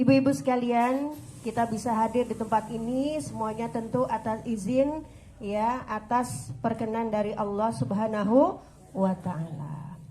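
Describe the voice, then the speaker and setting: Audible room echo surrounds a woman whose somewhat breathy, dark, mellow voice sits at a fairly high pitch and moves at a fairly slow pace. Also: lively intonation. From West Java (Sundanese). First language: Sundanese (speaking Indonesian). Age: 40s. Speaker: female Islamic preacher and religious counselor. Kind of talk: religious study talk to women's group. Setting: pendopo hall with audience. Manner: conversational, informal.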